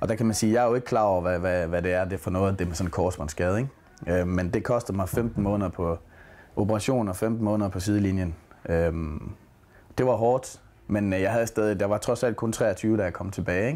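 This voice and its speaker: A man's fairly quick, fairly low-pitched voice with a dark, mellow tone and ordinary pitch variation. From Denmark, Aarhus; Denmark. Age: 20s. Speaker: footballer. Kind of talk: interview. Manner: halting. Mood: relaxed, reflective. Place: home room.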